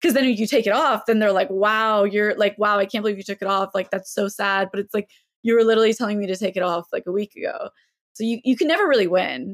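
A woman at a very fast pace with ordinary pitch variation, dry and close with no echo. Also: medium pitch for a woman. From US South, Mobile, Alabama. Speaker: fashion content creator and social activist. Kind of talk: casual chat. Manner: halting, frequent fillers.

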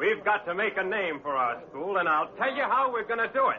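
Putting on a character voice, a man talks high and fairly fast, with big pitch swings and a slightly husky edge.

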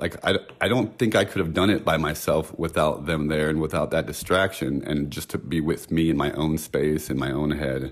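With a very deep, low pitch and vocal fry, a man talks at a moderate pace using ordinary pitch variation. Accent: American. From San Francisco, US West Coast. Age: 40s. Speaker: guest. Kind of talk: casual chat. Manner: nervous.

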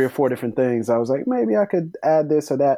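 A man with an American accent talks at a fairly quick pace in a dark, mellow tone. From Florida Panhandle, Pensacola. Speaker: podcast host and writer. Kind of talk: casual panel discussion.

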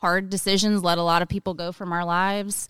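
A woman speaks at medium pitch and a moderate pace in an unremarkable speaking voice. The recording is very clean, with a silent background. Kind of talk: casual chat.

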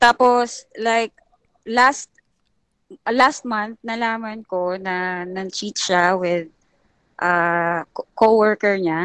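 A woman talks at a very slow pace, with medium pitch and ordinary pitch variation. The sound is dry and close, with no echo. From Philippines, Manila. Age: 30s. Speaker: caller. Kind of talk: casual chat. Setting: phone or video call.

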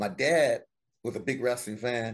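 Speaking with a Southern US accent, a man keeps a moderate pace at a medium pitch. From US South, South Carolina. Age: 50s. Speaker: wrestling memorabilia collector. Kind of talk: casual interview.

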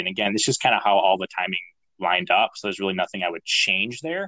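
Lively in intonation, a man speaks at a fairly low pitch with a bright, sharp tone. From northern Minnesota. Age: 30s. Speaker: real estate entrepreneur. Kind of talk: interview.

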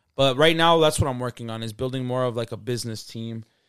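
A man's plain, everyday voice at a medium pitch, in an American accent, with ordinary pitch variation and a fairly quick pace, on a very clean recording with a silent background. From Salt Lake City, Utah, US; Mexican parents. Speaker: musician. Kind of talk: casual chat.

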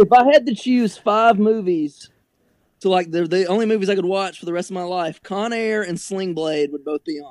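A man with an American accent and a high pitch talks at a moderate pace, with ordinary pitch variation and big swings in loudness. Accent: Southern redneck. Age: 20s. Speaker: sports fan guest. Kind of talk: casual chat.

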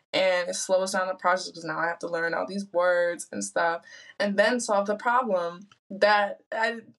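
A woman with an American accent has an unremarkable speaking voice at a medium pitch. She talks at a moderate pace with fairly even intonation. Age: 20s. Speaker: electrical engineer. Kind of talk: casual chat.

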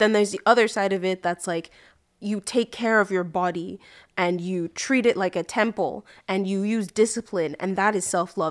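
In a very clean recording with a silent background and a dry, close sound with no echo, a woman speaks in a plain, everyday voice at medium pitch, with ordinary pitch variation and a moderate pace. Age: 20s. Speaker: podcast co-host. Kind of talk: casual chat.

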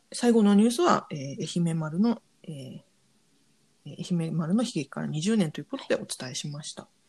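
A woman with a fairly low pitch sounds somewhat breathy and speaks with lively intonation. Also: moderate pace, big swings in loudness. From Japan. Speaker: podcast host. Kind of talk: news digest with casual commentary.

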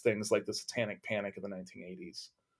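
A man with an American accent talks at a very fast pace on a very clean recording with a silent background. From Texas. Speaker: religious studies professor. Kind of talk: interview.

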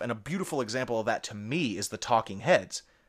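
Using an ordinary speaking voice, a man talks at a medium pitch and a fairly quick pace with lively intonation. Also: very clean recording, silent background. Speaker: podcast co-host. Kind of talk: casual chat.

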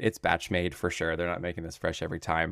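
The sound is dry and close-miked, without echo. A very clean recording with a silent background captures a man talking. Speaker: podcast host. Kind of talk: casual chat.

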